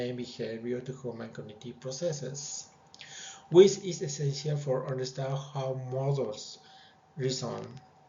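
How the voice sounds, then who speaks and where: With a non-native accent, a man talks at a fairly slow pace in a fairly high pitch, with noticeable background noise and audible room echo. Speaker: student presenting a project. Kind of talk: project presentation. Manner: halting, with fillers.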